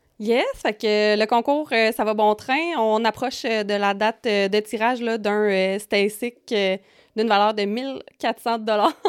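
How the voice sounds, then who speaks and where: With a Quebec accent, a woman speaks very slowly at a fairly high pitch, her loudness very even and her pitch variation ordinary. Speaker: podcast co-host. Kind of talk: casual chat.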